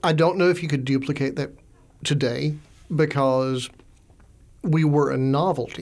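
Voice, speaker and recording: Speaking with a Southern US accent, a man with a fairly high voice keeps a moderate pace, pauses long and often, and varies his pitch in an ordinary way. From US South, Augusta, Georgia. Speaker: librarian and author. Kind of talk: interview. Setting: studio.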